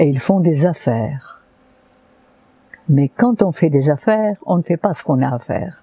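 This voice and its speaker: Speaking fairly slowly with long, frequent pauses, a woman uses a very deep, low pitch and lively intonation, recorded dry and close with no echo. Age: 80s+. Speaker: naturopath. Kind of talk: interview answer.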